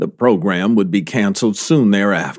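The recording is very clean with a silent background. A man with a plain, everyday voice and fairly low pitch speaks at a moderate pace with ordinary pitch variation. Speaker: interviewer. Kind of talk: casual interview chat.

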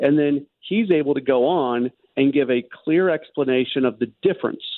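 This is a man with a normal speaking voice, pitched fairly high. He talks at a moderate pace. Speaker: sports radio host. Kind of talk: casual chat. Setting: phone call.

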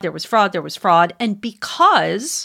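A woman with an American accent speaks in a normal speaking voice at medium pitch with lively intonation. The recording is very clean with a silent background. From Wisconsin, US Midwest. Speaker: communications researcher and campaign advisor. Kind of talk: interview.

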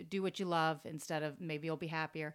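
In a very clean recording with a silent background, a woman with an American accent has a plain, everyday voice, a fairly low pitch and fairly even intonation. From Florida (Tampa). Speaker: vintage store owner. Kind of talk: casual interview.

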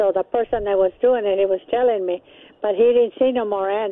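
A woman's plain, everyday voice: fairly high pitch, moderate pace, ordinary pitch variation. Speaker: caller. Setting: phone call.

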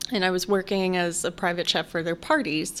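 A woman with an American accent uses a normal speaking voice at a medium pitch. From Chicago. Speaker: meal prep business owner and private chef. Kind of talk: casual interview.

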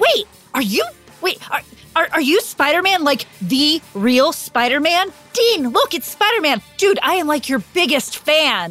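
A put-on character voice moves at a fairly slow pace. Faint music plays in the background. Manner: gushing, excited.

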